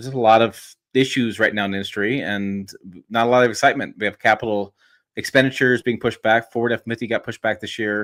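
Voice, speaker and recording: In a very clean, dry, close recording with no echo and a silent background, a man of medium pitch speaks very fast in a flat monotone. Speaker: truck journalist and YouTuber. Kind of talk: casual podcast interview.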